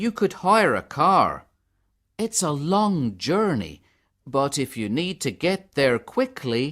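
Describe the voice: A man's put-on character voice, fairly high-pitched and fairly bright in tone, with big pitch swings at a slow pace in a very clean recording with a silent background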